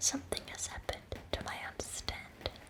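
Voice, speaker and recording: Noticeable background noise sits behind a woman whispering in a gentle tone. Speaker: ASMR creator. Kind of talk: ASMR poetry reading in bed. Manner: whispered, soft-spoken, gentle.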